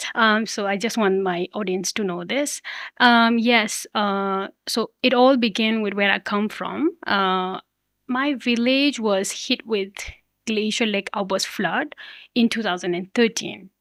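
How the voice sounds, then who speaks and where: A woman with a Nepalese accent and a fairly high pitch speaks at a fairly slow pace in a very clean recording with a silent background and a dry, close sound with no echo. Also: ordinary pitch variation. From Limi Valley, Humla, northwestern Nepal. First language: Limi. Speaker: youth climate activist. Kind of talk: podcast interview.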